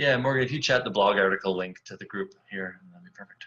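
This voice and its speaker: In a bright, sharp tone, a man speaks at a very fast pace. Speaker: software company webinar presenter. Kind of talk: webinar software demo. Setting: online webinar. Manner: casual, upbeat.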